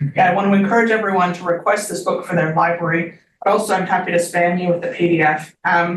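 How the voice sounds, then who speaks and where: In a fairly low, flat monotone, a woman talks very fast with hardly any pauses. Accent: Canadian. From Canada. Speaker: social psychology professor. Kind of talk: academic seminar talk.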